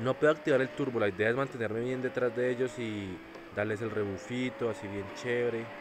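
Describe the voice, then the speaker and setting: Background noise is noticeable throughout. A man speaks at a medium pitch and a fairly quick pace. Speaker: mobile gaming YouTuber. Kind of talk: gameplay commentary. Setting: seated at table, recording phone gameplay. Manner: animated.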